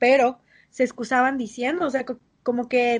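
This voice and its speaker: High pitch from a woman, the background quiet. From Mérida, Yucatán, Mexico. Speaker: podcast co-host, university student. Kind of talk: casual chat.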